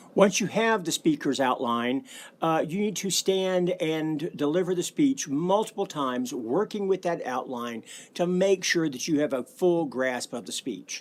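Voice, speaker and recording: Lively in intonation, a man with a Southern US accent speaks at a moderate pace. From US South, Alabama. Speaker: college speech professor. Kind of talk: lecture.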